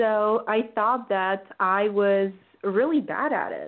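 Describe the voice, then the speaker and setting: A woman talks at a very slow pace. Her pitch is medium, with ordinary variation. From Bulgaria. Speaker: startup founder. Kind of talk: interview.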